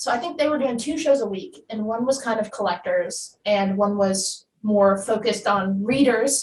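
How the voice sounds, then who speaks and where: A woman talks in a normal speaking voice at a fairly high pitch. Her pace is moderate and her pitch variation ordinary. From New Jersey. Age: 20s. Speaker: comic shop live show host. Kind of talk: interview.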